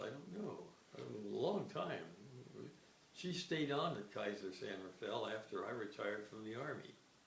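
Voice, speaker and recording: Noticeable background noise and audible room echo surround the recording. A man speaks at a fairly slow pace. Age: 80s+. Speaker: retired army psychologist. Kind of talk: interview, life reminiscence. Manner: halting, many fillers and repeats.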